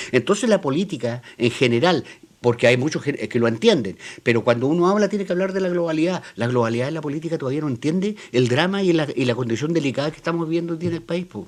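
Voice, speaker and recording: A man with a Chilean accent, very fast pace, fairly high pitch and lively intonation. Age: 60s. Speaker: political columnist panelist. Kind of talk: panel debate.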